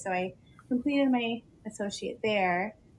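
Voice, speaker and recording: With an American accent, a woman speaks at a fairly slow pace in a somewhat breathy voice. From South Florida. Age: 20s. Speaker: teacher. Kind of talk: podcast conversation.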